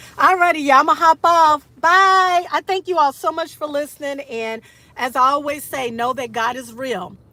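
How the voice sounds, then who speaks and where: Raising and projecting her voice, a woman speaks in an animated tone at a moderate pace with ordinary pitch variation. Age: 60s. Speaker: motivational livestreamer. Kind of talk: casual livestream talk.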